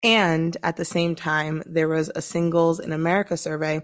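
A woman speaks at a fairly low pitch. The background is quiet. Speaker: leadership strategist and podcast host. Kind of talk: solo podcast monologue.

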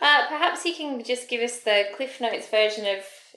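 A woman talks at a moderate pace with lively intonation. Her voice is fairly high, with a bright, sharp tone. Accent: Australian. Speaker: podcast host. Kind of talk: casual interview.

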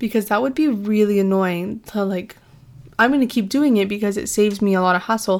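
A woman with a Canadian accent speaks at a fairly quick pace in a medium pitch with ordinary variation. The recording is very clean, with a silent background. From southern Ontario, Canada (Windsor area). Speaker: student podcast host. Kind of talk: casual monologue.

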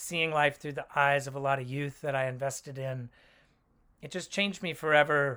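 Fairly high in pitch and bright and sharp in tone, a man with an American accent speaks at a moderate pace. His intonation is fairly even, and the very clean recording has a silent background. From Oakland, California. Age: 40s. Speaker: ministry leader, guest. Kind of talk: casual interview chat.

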